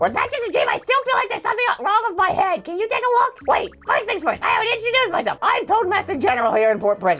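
Using a put-on character voice, a man talks at a very fast pace. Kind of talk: comic overacting of game dialogue. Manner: frantic, excitable.

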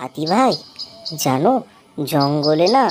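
A cartoonish character voice at a middle pitch drawls at a very slow pace. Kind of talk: children's cartoon comic acting. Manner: sly, fast, wheedling.

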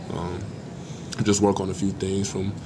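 Over clear background noise, a man talks in a low pitch at a fairly slow pace with monotone, flat intonation.

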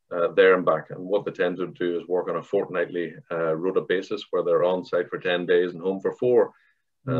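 Over a quiet background, someone with a Northern Irish accent talks at a fairly quick pace. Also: man. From Northern Ireland. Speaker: construction company director; guest. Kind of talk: panel discussion. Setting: video call. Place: office. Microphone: video call.

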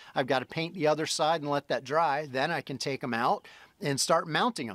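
In an unremarkable speaking voice, a man talks at a moderate pace and a fairly high pitch, with a dry sound, no echo, and a quiet background. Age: 50s. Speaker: solo homesteader vlogger. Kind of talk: casual vlog narration. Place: open country. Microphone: phone near.

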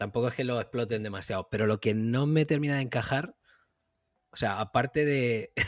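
Medium in pitch with ordinary pitch variation, a man speaks in a plain, everyday voice. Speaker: podcast co-host. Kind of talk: casual chat.

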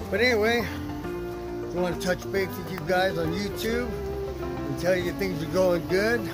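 A dry sound with no echo, with clear music in the background. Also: man. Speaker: home vlogger. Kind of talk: casual vlog chat. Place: garden. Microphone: phone near.

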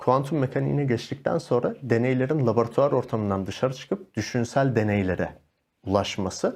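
The voice has ordinary pitch variation, with a quiet background behind it. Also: man. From Turkey, Malatya; Turkey. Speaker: yoga instructor and life coach; yoga instructor, life coach. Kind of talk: casual interview chat. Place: studio.

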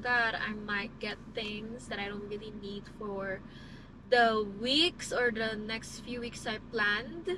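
A woman talks at a fairly slow pace, her dry sound free of echo but with noticeable background noise. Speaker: lifestyle vlogger. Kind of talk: casual vlog chat. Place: car. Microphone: phone near.

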